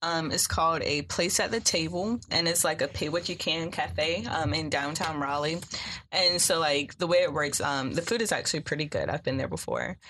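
Using an ordinary speaking voice, a woman talks at a moderate pace with fairly low pitch and ordinary pitch variation. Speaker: sociology student. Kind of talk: casual chat.

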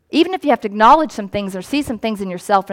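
A woman speaks here. Her intonation is lively. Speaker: priest and pastor. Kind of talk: sermon. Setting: church. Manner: fast.

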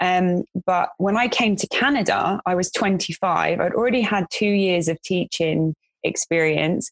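A woman speaks in a London accent at a medium pitch and a fairly slow pace, with ordinary pitch variation. Her loudness stays very even, and the sound is dry and close with no echo. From West London, England. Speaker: vocational college educator. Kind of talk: casual chat.

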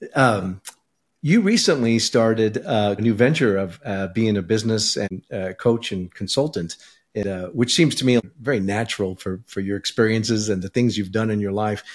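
A man with an American accent speaks at a fairly low pitch with ordinary pitch variation and a moderate pace. It is an ordinary speaking voice on a very clean recording with a silent background. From California. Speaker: podcast host. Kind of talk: interview.

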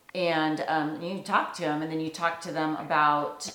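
A woman at a fairly low pitch and a fairly slow pace, with noticeable background noise. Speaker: interviewer and documentary host. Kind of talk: interview in documentary.

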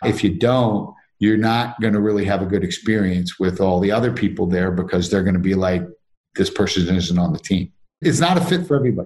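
At a fairly quick pace, a man with an ordinary speaking voice talks at a fairly low pitch, with ordinary pitch variation and very even loudness. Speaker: company CEO. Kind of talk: casual interview.

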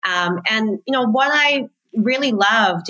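A woman's bright, sharp voice with an American accent, at a moderate pace. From Australia. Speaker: PR agency founder. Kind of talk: podcast interview. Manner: many fillers and restarts.

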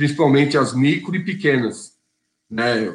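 With a somewhat breathy quality, a man talks at a fairly high pitch. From Brazil, São Bernardo do Campo (São Paulo ABC region). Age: 40s. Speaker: union leader and auto assembly worker. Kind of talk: interview.

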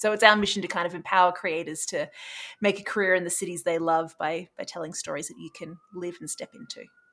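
Delivered at a very fast pace in an Australian accent, this bright, sharp tone holds fairly even intonation but has big swings in loudness. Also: woman, fairly low pitch for a woman. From Australia, Brisbane. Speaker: startup CEO. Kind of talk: casual interview.

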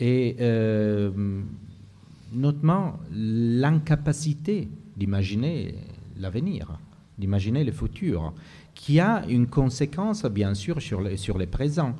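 Speaking with an Italian accent, a man has a dark, mellow tone and very wide pitch swings. His pace is very slow, with long, frequent pauses. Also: medium pitch for a man. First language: Italian (speaking French). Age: 50s. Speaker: geography professor and writer. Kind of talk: panel discussion. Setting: live venue with audience. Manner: halting.

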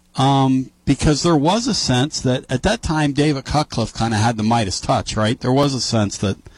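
In an American accent, a man with a medium pitch speaks at a moderate pace in an animated tone, somewhat breathy, with ordinary pitch variation, the sound dry and close with no echo on a very clean recording with a silent background. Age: 50s. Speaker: sports radio host. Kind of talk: casual sports talk radio.

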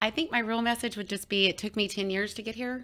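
In an American accent, a woman talks at a fairly quick pace with a bright, sharp tone. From Texas, rural. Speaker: author and rancher. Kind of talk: interview. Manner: halting, many fillers.

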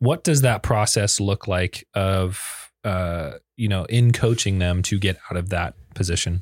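A man with a fairly low pitch and an unremarkable speaking voice talks at a fairly slow pace with ordinary pitch variation and hardly any pauses. The sound is dry and close with no echo, on a very clean recording with a silent background. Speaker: podcast host and psychiatric physician assistant. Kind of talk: podcast interview.

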